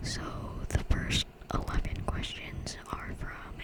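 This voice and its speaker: Whispering very slowly in a gentle, relaxed tone, a woman is heard over noticeable background noise. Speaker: ASMR YouTuber. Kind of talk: ASMR Q&A, whispered and soft-spoken. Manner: soft-spoken, gentle, relaxed.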